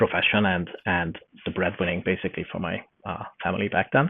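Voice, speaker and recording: Speaking at a moderate pace, a man with a slight Hungarian accent has a very deep, low voice. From Hungary. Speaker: forester and newsletter journalist. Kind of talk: podcast interview. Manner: hesitant, many fillers.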